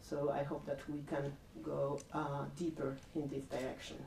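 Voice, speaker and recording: A woman's very deep, low voice in a non-native accent at a very slow pace, with audible room echo and noticeable background noise. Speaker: art researcher and network coordinator. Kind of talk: public lecture. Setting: public talk with audience. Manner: halting, many fillers.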